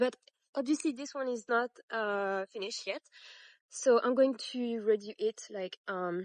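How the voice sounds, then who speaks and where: A woman with a French accent speaks at a fairly slow pace in a high voice with lively intonation. The sound is dry and close with no echo, and the background is quiet. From France. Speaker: crochet tutorial maker. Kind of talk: tutorial. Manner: halting, many fillers; casual.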